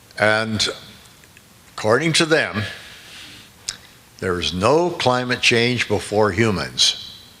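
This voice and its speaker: Through audible room echo and noticeable background noise, a man speaks very slowly at a medium pitch with lively intonation and long, frequent pauses. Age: 80s+. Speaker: physicist speaking at a conference. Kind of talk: conference talk. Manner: halting.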